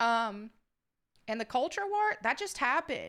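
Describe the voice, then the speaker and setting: A woman speaks at a fairly quick pace in a raised, projected voice with a bright, sharp tone. The recording is very clean, with a silent background. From upstate New York, Southern family. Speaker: YouTuber. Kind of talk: Q&A reading viewer questions. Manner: casual, with filler words.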